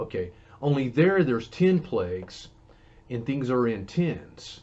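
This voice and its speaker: At a fairly slow pace, a man with a Southern US accent and a medium pitch speaks with very wide pitch swings. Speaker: Bible teacher. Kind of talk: Bible teaching. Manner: conversational.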